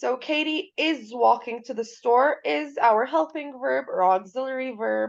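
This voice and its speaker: In a high pitch, a woman speaks at a fairly slow pace with lively intonation and hardly any pauses. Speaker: English teacher. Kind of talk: lecture. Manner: code-switching between Arabic and English.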